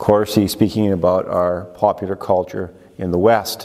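Fairly slow speech from a man. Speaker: pastor. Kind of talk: sermon. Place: church. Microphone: lapel.

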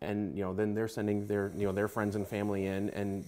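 A man speaks at a fairly quick pace with a fairly low pitch. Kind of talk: interview answer. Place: office. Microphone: lapel.

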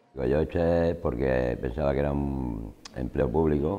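A man's very deep, low-pitched voice with ordinary pitch variation. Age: 40s. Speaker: job programme participant. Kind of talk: testimony. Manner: halting. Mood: calm, sincere, grateful. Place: classroom. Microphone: lapel.

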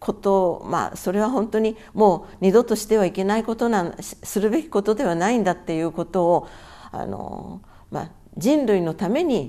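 Her tone dark and mellow, a woman speaks with lively intonation. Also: medium pitch for a woman, moderate pace. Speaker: atomic bomb survivor. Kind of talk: testimony. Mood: calm, earnest recollection. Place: home room.

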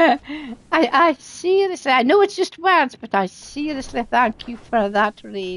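Speaking with a Scottish accent, a woman uses a high pitch. Her pitch swings are very wide. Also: fairly slow pace, hardly any pauses. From Scotland. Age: 70s. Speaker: gaming streamer. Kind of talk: live game streaming chat. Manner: chatty.

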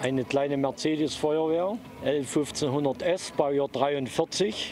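Over clear background noise, a man speaks at a fairly slow pace, fairly high in pitch, with ordinary pitch variation.

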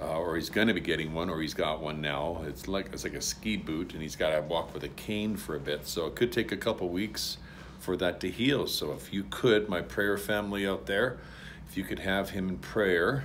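A man speaks in a low pitch at a moderate pace. His pitch variation is ordinary.

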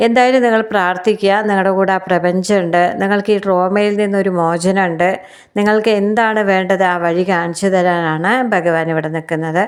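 A woman speaks in an ordinary speaking voice at medium pitch, her loudness very even and her intonation fairly even. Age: 50s. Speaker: tarot reader. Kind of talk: tarot reading monologue.

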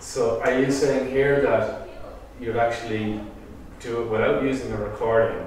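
The speech moves at a moderate pace, with strong room echo and light background noise. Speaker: workshop participant. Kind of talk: question in a class. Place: meeting room. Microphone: camera far.

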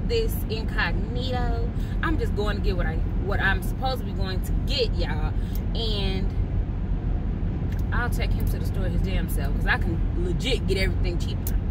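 Amid loud background noise, a woman speaks at a moderate pace with long, frequent pauses, her sound dry with no echo. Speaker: vlogger. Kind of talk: casual vlog chat. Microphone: phone near.

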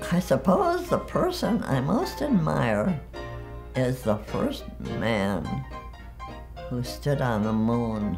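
A woman with an American accent speaks at a very slow pace, leaving long, frequent pauses over clear music in the background. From Michigan, USA. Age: 80s+. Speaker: documentary interviewee. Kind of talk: interview answer. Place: home room.

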